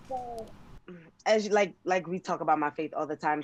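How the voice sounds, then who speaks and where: A woman speaks with a Jamaican accent and lively intonation. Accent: Jamaican accent, noticeable. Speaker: gospel singer. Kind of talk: casual interview.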